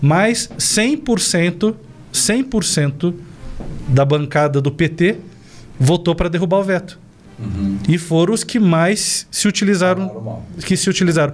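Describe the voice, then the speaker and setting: A man speaks very slowly in a high voice with lively intonation and very even loudness. Long pauses come often. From Brazil, Paraná (Cascavel). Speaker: political commentator, former sales representative. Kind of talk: political talk show discussion. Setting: studio, live stream.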